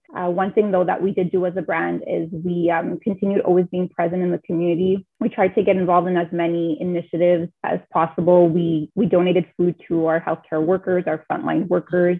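Speaking at a fairly quick pace with few pauses, a woman uses a fairly low voice with little pitch movement, a slightly husky edge and vocal fry.

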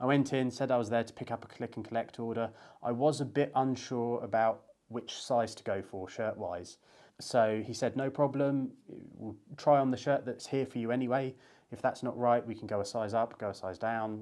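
Over a quiet background, a man speaks at a moderate pace in a dark, mellow tone with fairly even intonation. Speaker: menswear vlogger. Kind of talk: casual vlog chat.

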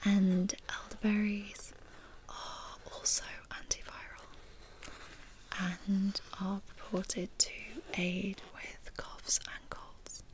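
A woman whispers at a very slow pace, with long, frequent pauses. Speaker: video host. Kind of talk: soft tutorial-style chat, ASMR-like. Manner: soft-spoken, hushed ASMR delivery. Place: home room.

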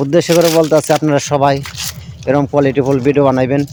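Noticeable background noise sits behind this voice. The man keeps his intonation fairly even. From Bangladesh, Gazipur near Dhaka. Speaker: video content creator. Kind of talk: casual vlog talk to camera. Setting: outdoors in a rice field.

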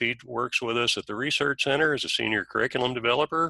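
Against a quiet background, a man's bright, sharp tone comes through dry, with no echo. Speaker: training center manager. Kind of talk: webinar introduction. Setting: video call. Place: garage. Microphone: video call.

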